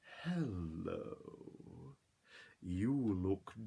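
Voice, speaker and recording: A put-on character voice from a man, pitched fairly low. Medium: read story. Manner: smooth, ingratiating, falsely reassuring.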